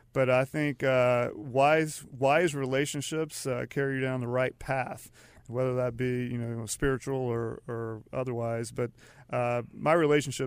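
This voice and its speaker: In a plain, everyday voice, a man with an American accent speaks at a moderate pace and medium pitch with fairly even intonation. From US South, Charlotte, North Carolina. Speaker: lawyer and business founder. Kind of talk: interview.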